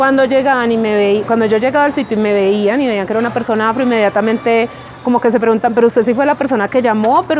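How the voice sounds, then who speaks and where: Speaking very fast over music in the background, a woman with a paisa accent uses a fairly high pitch and fairly even intonation. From Colombia, Pereira. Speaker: lawyer. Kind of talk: documentary interview.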